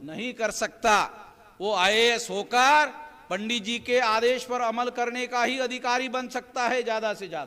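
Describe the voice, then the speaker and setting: A man's raised, projected voice rings out at an extremely high pitch, bright and sharp in tone. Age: 60s. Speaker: activist leader. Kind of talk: political rally speech. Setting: public rally.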